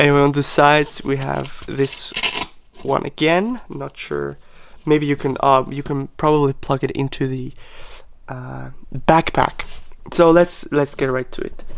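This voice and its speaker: Speech in a non-native accent comes at a fairly slow pace with long, frequent pauses. Noticeable background noise sits behind it. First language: not English. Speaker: product unboxing youtuber. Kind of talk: unboxing tutorial. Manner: halting, many fillers.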